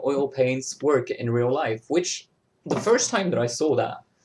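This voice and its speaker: A man speaks with a French accent. His pitch is medium. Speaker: digital glitch artist. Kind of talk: casual chat. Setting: video call. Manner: halting.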